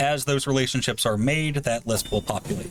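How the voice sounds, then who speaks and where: Amid noticeable background noise, a man talks at a fairly quick pace with a medium pitch and ordinary pitch variation. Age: 30s. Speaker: game developer presenting on livestream. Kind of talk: livestream gameplay demo with Q&A. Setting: livestream.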